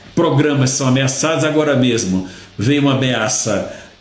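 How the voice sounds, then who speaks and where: Over noticeable background noise and with audible room echo, a man of medium pitch speaks at a fairly slow pace with ordinary pitch variation. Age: 60s. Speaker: retired judge, political commentator. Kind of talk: live stream commentary. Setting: live social media broadcast.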